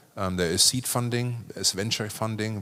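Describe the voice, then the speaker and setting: A man talks at a very fast pace with a German accent. His intonation is monotone and flat. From Germany. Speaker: business executive, panelist. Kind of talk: panel discussion. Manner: casual, halting with repetitions.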